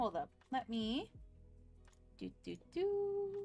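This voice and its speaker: Over music in the background, a woman talks in an animated tone with very wide pitch swings. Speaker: vtuber streamer. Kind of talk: casual live stream chat.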